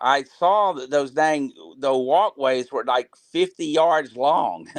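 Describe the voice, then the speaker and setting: A man with a fairly high voice and an American accent speaks at a very slow pace. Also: ordinary pitch variation. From US South, South Florida. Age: 60s. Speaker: crappie angler. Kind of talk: live Q&A interview. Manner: halting, many fillers.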